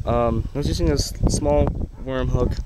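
A man speaks at a fairly slow pace in a dry recording with no echo, over noticeable background noise. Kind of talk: casual fishing vlog chat. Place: waterside. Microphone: phone near.

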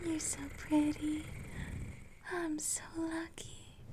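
A whisper at a very slow pace. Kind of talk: intimate roleplay monologue. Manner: soft, affectionate ASMR murmur.

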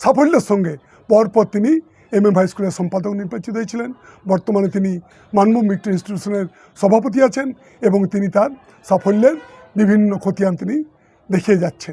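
A man speaks with high pitch and ordinary pitch variation. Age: 60s. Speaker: politician. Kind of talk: political statement. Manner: formal.

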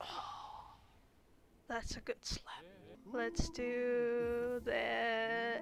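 Her voice high, a woman speaks at a very slow pace with ordinary pitch variation and long, frequent pauses. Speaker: gaming youtuber. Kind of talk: let's play commentary. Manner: casual, rambling. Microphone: mic distortion from handling.

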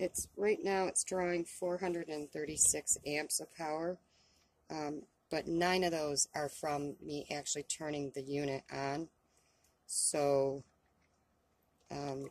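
A woman speaks at a very deep, low pitch and a very slow pace, with long, frequent pauses. Her intonation is fairly even, and the sound is dry with no echo. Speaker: van dweller vlogger. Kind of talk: casual tutorial. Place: car. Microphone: camera far.

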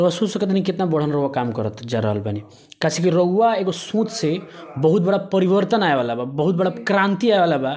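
With light background noise behind him, a man speaks at a moderate pace in a high pitch with very wide pitch swings. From Bihar, India. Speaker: local news reporter. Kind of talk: interview. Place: home room. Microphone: handheld.

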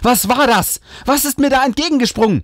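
A man speaks in a dry, close sound with no echo. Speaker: audiobook reader. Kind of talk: reading aloud a ghost story; hushed, suspenseful scary-story narration. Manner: slow, whispery and tense, building suspense.

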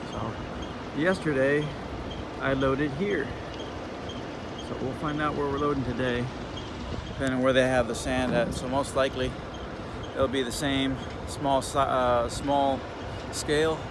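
Moderate pace with long, frequent pauses, a dry sound with no echo, and noticeable background noise. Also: man. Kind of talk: casual vlog chat. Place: car. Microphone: phone near.

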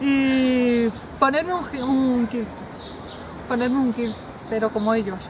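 Amid noticeable background noise, a woman with a high pitch and ordinary pitch variation speaks at a very slow pace with long, frequent pauses, in a dry sound with no echo. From Spain. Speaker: romance novelist. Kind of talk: casual interview. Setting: book fair. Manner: animated. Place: garden.

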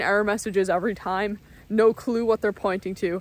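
The speech moves at a fairly quick pace. The sound is dry, with no echo. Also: woman. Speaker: vlogger. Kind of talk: casual vlog chat. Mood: relaxed, lightly amused. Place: forest. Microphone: phone near.

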